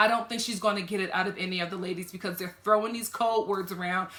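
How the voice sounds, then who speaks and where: A woman's animated tone at a very fast pace, with ordinary pitch variation and noticeable background noise. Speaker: TV reality show reviewer. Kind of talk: reaction video commentary. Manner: animated, conversational.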